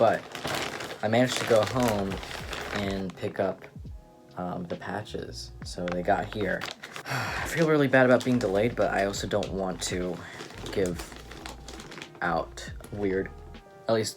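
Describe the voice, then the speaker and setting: Long, frequent pauses break up fairly slow speech while noticeable background noise carries on. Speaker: art vlogger. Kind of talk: casual vlog.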